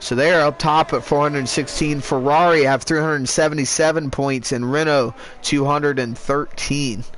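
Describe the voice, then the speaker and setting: A man's speech moves at a moderate pace with noticeable background noise in the mix. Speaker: sim racing league commentator. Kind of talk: live commentary. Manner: loud; animated.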